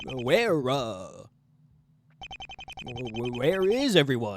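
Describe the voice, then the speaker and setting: A man puts on a character voice. His pitch is medium. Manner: authoritative, formal.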